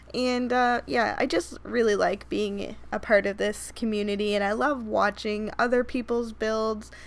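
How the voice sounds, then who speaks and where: The delivery runs at a fairly slow pace with fairly even intonation and hardly any pauses. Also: woman, fairly high pitch for a woman. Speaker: Sims speed-build YouTuber. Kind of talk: gameplay voiceover commentary. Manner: rambling, casual.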